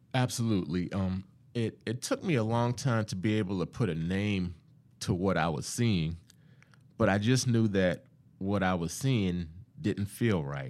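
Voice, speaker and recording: A man's plain, everyday voice, fairly low in pitch, with an American accent, ordinary pitch variation and a moderate pace. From US South, Charleston, South Carolina (Johns Island area). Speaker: diversity executive, law graduate. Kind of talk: interview conversation.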